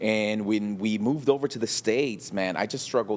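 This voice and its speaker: A man with a slight Mexican accent, fairly low pitch and ordinary pitch variation. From Mexico, Tijuana. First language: Spanish. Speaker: pastor. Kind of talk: testimony in podcast interview.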